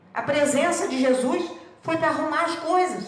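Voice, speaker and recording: Noticeable background noise and audible room echo surround a woman's voice. She speaks high in pitch with lively intonation. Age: 70s. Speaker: spiritist lecturer. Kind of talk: religious talk.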